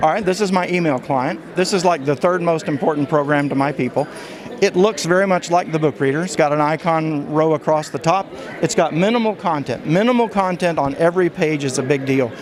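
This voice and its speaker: A man talks at a fairly quick pace with a fairly high pitch and ordinary pitch variation. Noticeable background noise sits behind him. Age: 70s. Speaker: software inventor demonstrating his product. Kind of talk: product demonstration interview.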